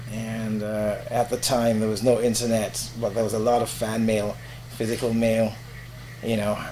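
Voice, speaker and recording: Amid audible room echo, a man with a medium pitch talks at a moderate pace in monotone, flat intonation. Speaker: veteran radio presenter and voiceover artist. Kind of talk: casual interview. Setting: podcast interview. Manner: professional.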